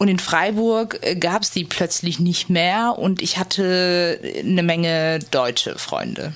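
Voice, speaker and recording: A woman speaks at a very slow pace, her pitch fairly low. Her pitch varies in an ordinary way. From Germany, Turkish family. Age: 20s. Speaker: interviewee. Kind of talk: interview testimony.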